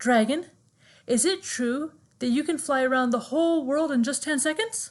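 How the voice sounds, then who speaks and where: Against a quiet background, a woman puts on a character voice at a high pitch. She keeps a moderate pace with ordinary pitch variation. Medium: read story.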